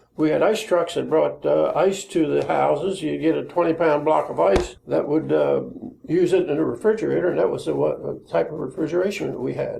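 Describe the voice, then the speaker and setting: The man talks at a fairly quick pace in an American accent, with noticeable background noise present. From Maryland, US. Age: 80s+. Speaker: local elder sharing memories. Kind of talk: oral history interview. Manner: halting.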